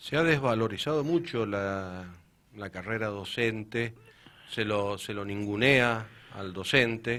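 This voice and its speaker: With an Argentine accent, a man speaks very slowly at a medium pitch in a bright, sharp tone, his loudness swinging widely. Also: ordinary pitch variation. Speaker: municipal sports director. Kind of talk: radio interview.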